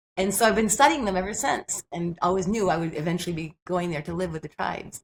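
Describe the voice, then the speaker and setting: Somewhat breathy and very fast, a woman speaks in a fairly low voice. Her pitch varies in an ordinary way. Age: 60s. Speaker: health and nutrition researcher. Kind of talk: podcast interview. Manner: animated.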